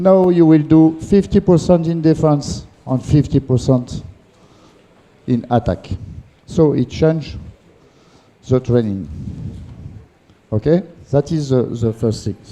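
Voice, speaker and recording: With a French accent, a man talks at a fairly slow pace with long, frequent pauses, lively intonation, a fairly high pitch and a dark, mellow tone. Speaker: handball coach educator. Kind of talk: lecture. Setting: conference with audience. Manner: halting.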